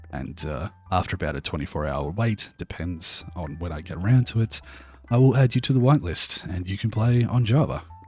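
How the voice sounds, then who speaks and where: A man with an American accent talks at a fairly quick pace in a very deep, low pitch, with very wide pitch swings and big swings in loudness. Music plays in the background. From Australia. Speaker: game streamer. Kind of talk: live stream chat while gaming. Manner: casual, hesitant with fillers.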